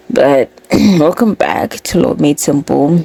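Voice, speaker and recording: Background noise is noticeable. The talking goes along very slowly. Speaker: podcast host. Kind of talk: podcast explainer. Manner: casual.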